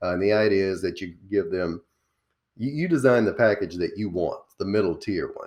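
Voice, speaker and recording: A man with a Southern accent, fairly low in pitch, at a moderate pace with ordinary pitch variation. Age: 40s. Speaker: small business coach. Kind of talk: interview.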